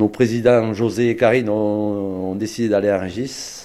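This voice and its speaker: A man's plain, everyday voice, fairly low in pitch, with fairly even intonation. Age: 40s. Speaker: farmer. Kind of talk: testimony.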